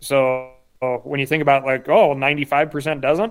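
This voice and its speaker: A man's fairly high voice with fairly even intonation. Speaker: conservationist and hunting podcaster. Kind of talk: casual interview chat.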